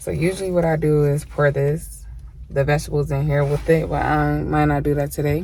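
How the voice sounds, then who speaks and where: Noticeable background noise sits behind a woman's voice. Audible room echo is present too. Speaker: mukbang vlogger. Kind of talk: casual eating vlog. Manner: soft-spoken.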